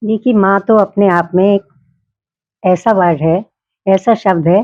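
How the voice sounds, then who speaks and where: A woman speaks in a medium-pitched voice with a dark, mellow tone and ordinary pitch variation. The sound is dry and close, with no echo. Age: 70s. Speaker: mother, interviewee. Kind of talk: interview, personal life story.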